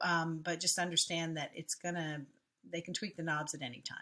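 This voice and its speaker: A woman with a bright, sharp tone speaks at a moderate pace in a fairly low pitch, her intonation fairly even. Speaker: SEO researcher. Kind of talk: casual screen-share talk.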